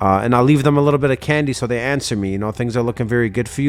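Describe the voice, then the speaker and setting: Noticeable background noise under a man's voice, medium in pitch, with ordinary pitch variation. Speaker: sales coach. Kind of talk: casual chat. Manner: fast.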